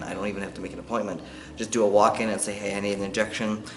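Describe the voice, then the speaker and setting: Over music in the background and audible room echo, a man talks with monotone, flat intonation. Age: middle-aged. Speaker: vlogger. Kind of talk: casual chat. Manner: halting.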